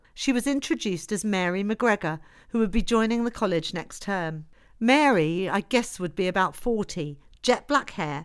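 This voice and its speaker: At a moderate pace, a woman with a normal speaking voice talks at medium pitch with lively intonation on a very clean recording with a silent background. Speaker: audiobook narrator. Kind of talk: literary audiobook reading. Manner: measured, steady narrator's delivery, formal in the historical prologue.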